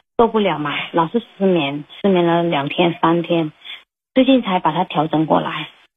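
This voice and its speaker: Her pace moderate and her pitch variation ordinary, the woman talks. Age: 30s. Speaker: caller. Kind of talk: personal problem call-in. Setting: phone call. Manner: halting, hesitant.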